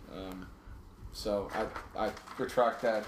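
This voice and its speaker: The speaker is a man. His voice carries an audible room echo. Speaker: podcast host. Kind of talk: casual chat. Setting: home basement studio. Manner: halting, repeats words.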